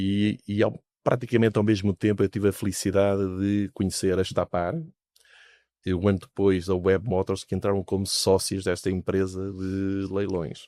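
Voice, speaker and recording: A man speaks with a European Portuguese accent in a fairly low, dark, mellow voice, monotone and flat at a moderate pace. The recording is very clean and dry, close with no echo and a silent background. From Portugal. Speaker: investment fund founder, businessman. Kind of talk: interview. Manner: hesitant, many fillers.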